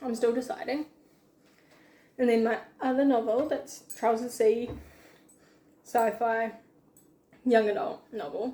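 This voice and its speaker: With a New Zealand accent, a woman speaks at a fairly high pitch in a dark, mellow tone. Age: young. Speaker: aspiring novelist and student. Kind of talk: casual chat while baking.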